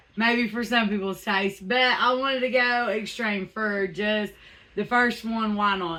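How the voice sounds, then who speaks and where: A woman's bright, sharp, fairly high voice with a Southern US accent at a fairly slow pace. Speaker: truck customizer YouTuber. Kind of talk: casual vlog. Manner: animated; stammering.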